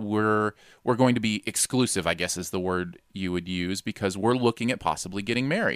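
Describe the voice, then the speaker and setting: On a very clean recording with a silent background, a man with a plain, everyday voice talks at a fairly quick pace, fairly low in pitch with ordinary pitch variation. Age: 40s. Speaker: podcast co-host. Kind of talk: casual chat.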